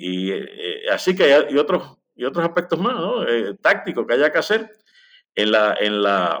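A man's medium-pitched voice with very wide pitch swings against a quiet background. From Puerto Rico, Lares. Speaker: historian and author. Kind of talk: interview.

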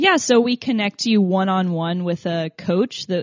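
This woman has an ordinary speaking voice. Her pitch is fairly low, with ordinary pitch variation. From Tennessee, US South. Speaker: app founder. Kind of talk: interview.

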